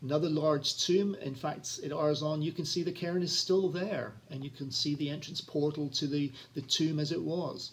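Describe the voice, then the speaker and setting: A man's somewhat breathy voice at a moderate pace, with fairly even intonation and hardly any pauses. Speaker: travel vlogger. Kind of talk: casual talk introducing a video. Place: home room. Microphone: phone near.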